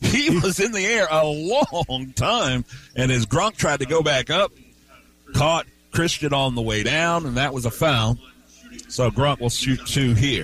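Amid noticeable background noise, a man with a fairly high pitch speaks at a fairly slow pace with lively intonation. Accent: American. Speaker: play-by-play radio announcer. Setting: courtside at a high school gym. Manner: brisk, clipped, present-tense calling of player movements.

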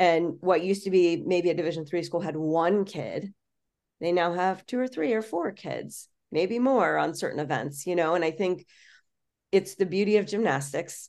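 Against a quiet background, a woman with an American accent and an unremarkable speaking voice talks at a moderate pace, her pitch fairly low with ordinary variation. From Florida. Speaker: college gymnastics head coach. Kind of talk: casual interview.

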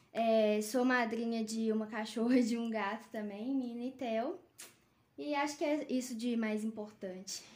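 The pace of this woman's speech is fairly slow. Her pitch moves in an ordinary way. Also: fairly high pitch for a woman. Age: 20s. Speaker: veterinarian. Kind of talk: casual chat. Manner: halting, many fillers.

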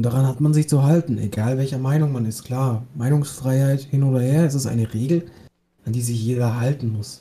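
A man talks at a fairly quick pace in a medium-pitched, dark, mellow voice that is somewhat breathy, with fairly even intonation. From Bavaria, Germany. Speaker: podcast co-host, apprentice. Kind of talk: casual chat.

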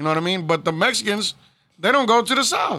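A man's raised, projected voice with an American accent, very fast pace and lively intonation. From Houston, Texas. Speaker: hip-hop promoter and artist manager. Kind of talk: casual interview. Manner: laid-back, filler-heavy.

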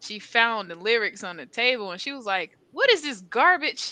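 Over a quiet background, a woman with an American accent speaks at a fairly slow pace in a bright, sharp tone with fairly high pitch. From North Carolina and Southern California. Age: 20s. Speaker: rapper. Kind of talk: interview.

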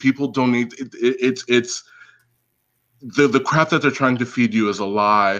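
A man with a plain, everyday voice, medium pitch and ordinary pitch variation, with an American accent. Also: moderate pace. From United States. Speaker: caller. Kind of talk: casual chat.

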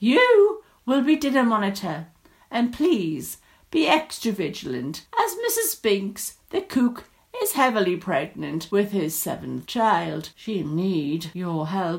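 Slowly, a woman with a medium pitch performs a put-on character voice full of vocal fry and big pitch swings.

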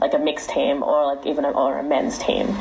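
A woman is speaking with audible room echo. Noticeable background noise runs underneath. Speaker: ultimate frisbee team captain. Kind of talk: interview. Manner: loud.

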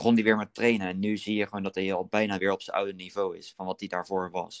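At a fairly quick pace, the voice comes through with monotone, flat intonation in a dry, close sound with no echo. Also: man. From Netherlands, Berkel near Rotterdam. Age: 20s. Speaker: student, fitness podcast co-host. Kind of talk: casual chat.

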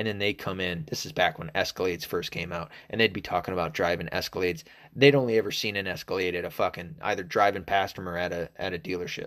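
A man talks at a very fast pace with hardly any pauses, his very deep, low pitch showing ordinary variation. The recording is very clean, with a silent background. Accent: American. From Arkansas, US South. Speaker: podcast host. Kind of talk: casual solo podcast rant. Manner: casual, hesitant with fillers, profane.

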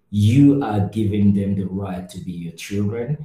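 Somewhat breathy and dark, mellow in tone, a man's fairly low voice moves at a fairly slow pace. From Cameroon. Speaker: NGO worker, podcast co-host. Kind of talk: casual discussion.

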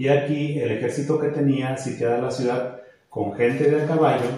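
Room echo is audible as a man speaks at a fairly slow pace. His pitch is medium, with fairly even intonation. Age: 40s. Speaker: teacher. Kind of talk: faith testimony chat. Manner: halting.

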